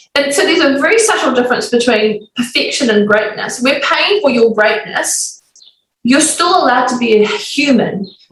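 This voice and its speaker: With a New Zealand accent, a woman speaks at a moderate pace in an energetic tone. Her high pitch swings very widely while loudness stays very even. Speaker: business coach and author. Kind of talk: podcast interview.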